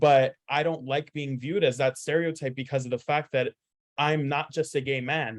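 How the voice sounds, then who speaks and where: A man speaks with fairly even intonation. His pitch is fairly high. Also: moderate pace, dry, close sound with no echo. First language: Spanish. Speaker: student panelist. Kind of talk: panel discussion testimony. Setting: panel event.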